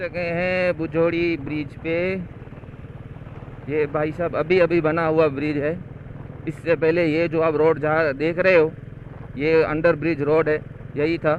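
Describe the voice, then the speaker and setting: A man's fairly high, monotone, flat voice with long, frequent pauses over noticeable background noise. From India, Kutch, Gujarat. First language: Kutchi / Gujarati (speaking Hindi). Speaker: travel vlogger. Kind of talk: travel vlog narration. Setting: outdoors on a motorbike.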